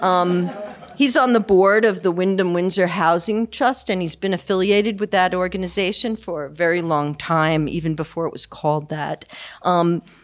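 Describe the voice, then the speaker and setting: A woman talks against a quiet background. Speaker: event host introducing speaker. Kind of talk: speaker introduction. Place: hall. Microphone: podium.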